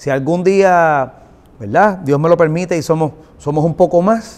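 The voice belongs to a man with a fairly high pitch. Its pitch variation is ordinary. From Puerto Rico. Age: 40s. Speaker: singer-songwriter and producer; guest. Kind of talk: interview. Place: studio.

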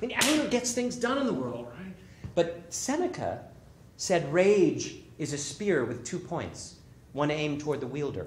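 Over light background noise and audible room echo, a man speaks in a high voice with very wide pitch swings. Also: moderate pace. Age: 50s. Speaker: author. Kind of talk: storytelling performance. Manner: animated. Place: stage.

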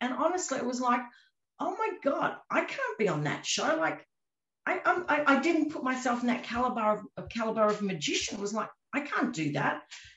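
With an Australian accent, a woman talks at a moderate pace in a high pitch with very wide pitch swings, against a quiet background with audible room echo. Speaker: magician and escape artist; interviewee. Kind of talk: interview. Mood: warm, modest, chatty. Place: home room. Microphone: video call.

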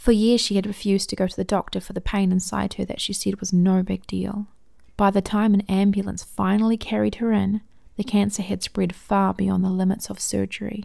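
The recording is very clean, with a silent background. A woman speaks at a fairly quick pace in a New Zealand accent. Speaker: amateur audiobook narrator. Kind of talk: audiobook reading of a short story.

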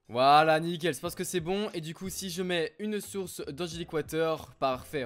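A man with a high pitch speaks over music in the background. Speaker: gaming youtuber. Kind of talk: gameplay commentary. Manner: animated.

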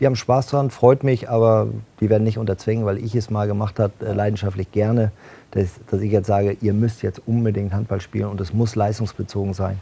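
In a fairly low pitch, a man talks at a fairly quick pace with monotone, flat intonation and a dark, mellow, somewhat breathy tone. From northern Germany, Bad Schwartau near Lübeck; northern Germany. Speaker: football club executive and former handball player; talk show guest. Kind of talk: TV talk show interview. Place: studio. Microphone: lapel.

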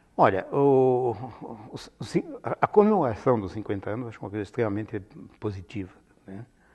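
A man with an Italian accent speaks at a moderate pace in a somewhat breathy voice, with big swings in loudness and long, frequent pauses over a quiet background. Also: ordinary pitch variation. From Italy, Piedmont. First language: Italian (speaking Portuguese). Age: 70s. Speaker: retired linguistics professor; interviewee. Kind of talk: oral history interview; interview answer. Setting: filmed interview. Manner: hesitant, many fillers. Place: studio. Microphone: lapel.

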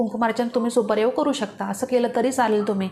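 The speaker is a woman with a high-pitched voice. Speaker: devotional YouTuber. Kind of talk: religious tutorial. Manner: informal.

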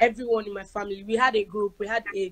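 Her pitch varying in an ordinary way, a woman speaks at a moderate pace. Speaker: guest. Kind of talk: interview answer. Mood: animated, laughing. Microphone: phone near.

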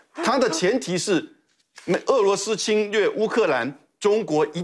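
At a very slow pace, a man talks in a high pitch with very wide pitch swings. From Taiwan. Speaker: former national security official; guest commentator. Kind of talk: TV panel discussion. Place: studio. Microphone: lapel.

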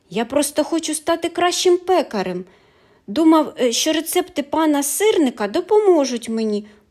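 In a put-on character voice, the speaker mumbles at a moderate pace with a high pitch. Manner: mumbling, dejected.

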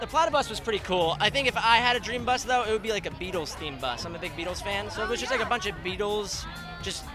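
A man's very fast speech, high-pitched for a man, over clear music in the background. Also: dry sound with no echo. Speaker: voice actor at premiere. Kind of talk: interview answer. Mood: upbeat, friendly. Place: street. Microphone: handheld.

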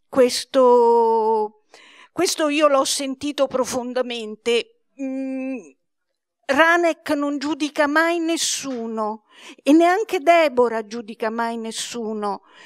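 A woman speaks very slowly at a high pitch, with ordinary pitch variation. The background is quiet, and the sound is dry with no echo. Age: 70s. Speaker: publisher presenting a book; presenter. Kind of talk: book presentation talk. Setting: library event with audience. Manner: hesitant, many fillers. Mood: warm, earnest. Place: hall. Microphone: handheld.

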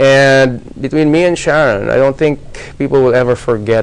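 Fairly even in intonation, a man speaks with very even loudness. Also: moderate pace. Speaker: interview guest. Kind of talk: interview answer. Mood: reflective, slightly amused. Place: studio.

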